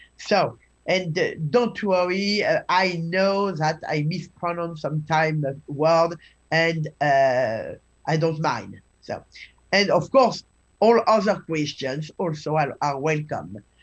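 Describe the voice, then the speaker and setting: At a very slow pace, a woman with a French accent speaks in a fairly low voice. Her pitch variation is ordinary. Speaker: scholar of Chinese classical texts. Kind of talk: lecture. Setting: live webinar. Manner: halting.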